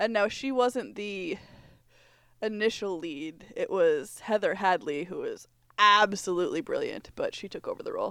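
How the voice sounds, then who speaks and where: On a very clean recording with a silent background, a woman with an ordinary speaking voice talks at a moderate pace and a fairly high pitch. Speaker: podcast host. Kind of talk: casual chat.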